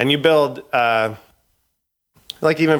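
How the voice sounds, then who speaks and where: In a western Canadian accent, a man talks at a moderate pace with ordinary pitch variation. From Canada (Edmonton, Alberta). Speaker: record label director. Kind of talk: casual interview.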